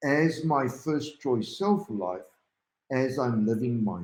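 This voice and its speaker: Speaking very slowly, a man uses a dark, mellow tone while his pitch swings very widely. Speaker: life coach livestream host. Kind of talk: live stream talk. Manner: halting.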